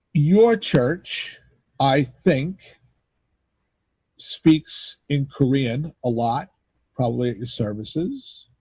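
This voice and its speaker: An American-accented man speaks at a very slow pace with long, frequent pauses and a fairly high pitch. His dark, mellow tone is somewhat breathy, with lively intonation. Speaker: pastor. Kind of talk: casual chat.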